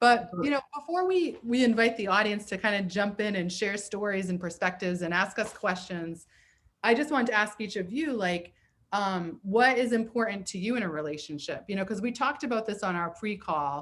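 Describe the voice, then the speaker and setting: A woman talks at a fairly quick pace with lively intonation. She has an ordinary speaking voice at medium pitch. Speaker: therapist and comedy show host. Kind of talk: casual chat. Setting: video call.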